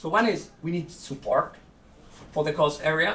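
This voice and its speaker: There is noticeable background noise as a man speaks. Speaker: conference speaker on animal ethics. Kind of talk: conference talk. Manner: fast.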